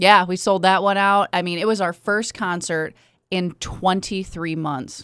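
On a very clean recording with a silent background, a woman with an ordinary speaking voice talks at a medium pitch and a fairly slow pace, with fairly even intonation. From Kalamazoo, Michigan. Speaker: hockey team general manager. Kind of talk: casual chat. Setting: studio.

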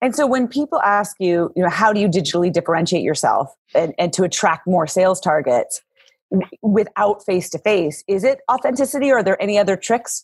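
A woman talks in an energetic, warm tone at a fairly quick pace and a medium pitch. Her voice swings very widely in pitch while the loudness stays very even. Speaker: podcast host. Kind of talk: casual interview chat. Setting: video call. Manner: fast talker.

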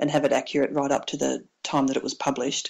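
A woman speaks with an Australian accent. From Victoria, Australia (Mansfield, country town). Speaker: author, former police officer and paramedic. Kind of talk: interview. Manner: hesitant, many fillers.

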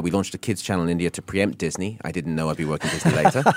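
A man speaks with a southern English accent and ordinary pitch variation. The recording is very clean, with a silent background. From southern England, Isle of Wight. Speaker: business executive. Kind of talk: radio interview.

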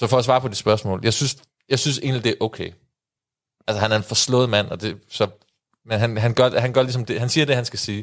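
At a very fast pace broken by long, frequent pauses, a man speaks with medium pitch and fairly even intonation. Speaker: football podcast co-host. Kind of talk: casual chat. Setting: studio.

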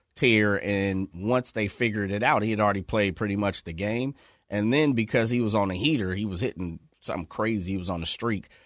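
Using a plain, everyday voice, a man speaks at a fairly quick pace, his pitch fairly low and its variation ordinary. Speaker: sports radio co-host. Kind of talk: sports talk radio. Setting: studio.

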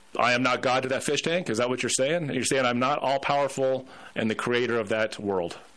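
Over noticeable background noise, a man at medium pitch talks at a fairly quick pace, keeping his loudness very even and his pitch variation ordinary. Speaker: radio host. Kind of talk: live radio talk show. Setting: radio studio. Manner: halting, repeats words.

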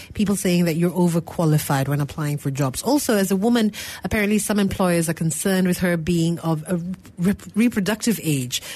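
At a fairly quick pace, a woman with a plain, everyday voice speaks at a fairly low pitch, with ordinary pitch variation and very even loudness. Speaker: radio talk show co-host. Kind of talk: call-in radio show.

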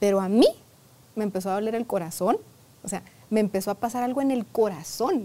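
A woman speaks in a normal speaking voice with a fairly high pitch. Her intonation is lively and her pace moderate. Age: 40s. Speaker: therapist. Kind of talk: interview.

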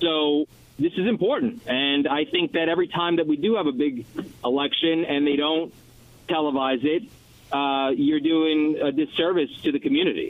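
A man with a New York accent talks at a moderate pace and very even loudness. His pitch is fairly high, with ordinary variation. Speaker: TV news anchor and debate moderator. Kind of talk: radio interview.

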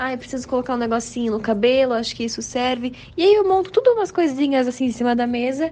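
A woman talks at a very fast pace with a high pitch. Her intonation is lively, with hardly any pauses. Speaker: ASMR content creator. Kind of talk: interview.

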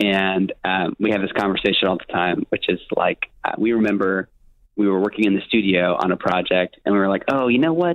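A man speaks at a fairly quick pace with an American accent, his fairly low pitch moving with ordinary variation in an ordinary speaking voice. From US, Miami. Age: 20s. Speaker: worship pastor and artist. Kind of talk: interview conversation.

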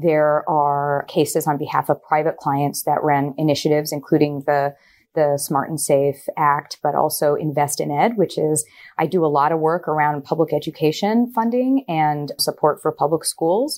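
With a General American accent, a woman with a very deep, low pitch speaks at a moderate pace, her loudness very even and her pitch variation ordinary, on a very clean recording with a silent background. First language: Gujarati. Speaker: attorney. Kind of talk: interview.

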